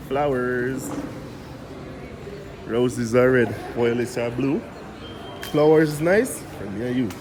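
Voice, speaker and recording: With a Jamaican accent and a medium pitch, a man speaks very slowly with long, frequent pauses amid audible room echo and noticeable background noise. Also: ordinary pitch variation. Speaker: travel vlogger. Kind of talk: casual vlog. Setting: supermarket. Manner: animated.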